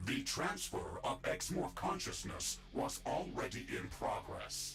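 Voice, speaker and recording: A man performs a put-on character voice at a fairly slow pace. Background noise is clear. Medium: video game. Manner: logical, flat.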